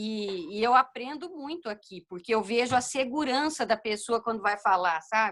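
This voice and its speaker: A woman speaks with a fairly high voice and lively intonation. Her tone is bright and sharp. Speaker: law exam candidate student. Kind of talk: casual chat.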